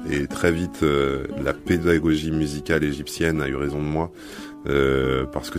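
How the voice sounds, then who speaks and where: Music plays in the background behind a man. His voice is very deep and low, with fairly even intonation. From Egypt (Cairo). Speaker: singer. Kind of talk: interview answer.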